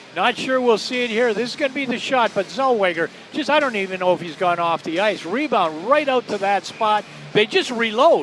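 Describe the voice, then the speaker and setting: This man talks at a fairly quick clip with lively intonation and a high pitch. There is noticeable background noise behind him. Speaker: hockey color commentator. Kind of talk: live sports color commentary, analytical. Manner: conversational.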